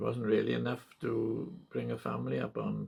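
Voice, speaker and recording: With a Welsh accent, a man speaks at a fairly slow pace. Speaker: part-time farmer. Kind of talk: oral history interview. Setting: at home in farmhouse. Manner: hesitant, many fillers.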